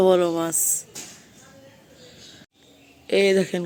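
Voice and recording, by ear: This woman has a dark, mellow tone at a fairly low pitch. Her pitch moves very little.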